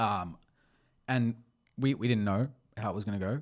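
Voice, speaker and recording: A man with an Australian accent, fairly low in pitch, with ordinary pitch variation at a moderate pace. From Australia, Melbourne. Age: 20s. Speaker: podcast co-host, sporting brand founder. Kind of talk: casual chat.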